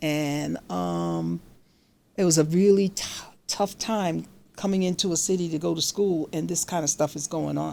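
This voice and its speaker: Lively intonation and a dark, mellow tone mark a woman speaking with an American accent at a moderate pace. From Catskills, New York. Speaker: retired judge. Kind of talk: casual storytelling talk to camera.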